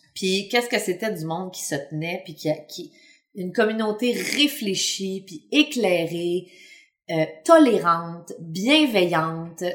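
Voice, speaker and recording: A woman's medium-pitched voice with a Quebec accent, very slow and with lively intonation. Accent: Québécois French. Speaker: urban market gardener. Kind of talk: casual interview. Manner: halting.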